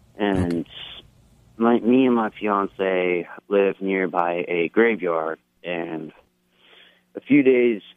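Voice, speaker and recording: The speaker has an American accent and talks at a very slow pace. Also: man. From upstate New York (Schoharie County). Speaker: caller. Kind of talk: call-in question.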